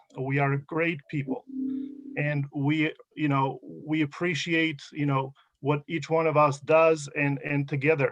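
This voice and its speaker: Flat and monotone, a man with an Albanian accent speaks at a fairly high pitch, with a dry, close sound with no echo. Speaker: award honoree. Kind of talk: acceptance speech. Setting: video call. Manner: halting, many fillers.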